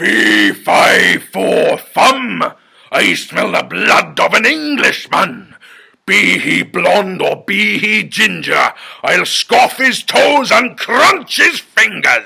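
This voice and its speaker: A man uses a put-on character voice that booms with a menacing tone at a very slow pace. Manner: booming, menacing.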